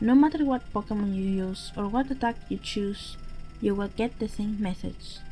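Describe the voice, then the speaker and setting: A voice with a non-native accent over music in the background. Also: woman. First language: not English. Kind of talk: horror story narration. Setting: home microphone.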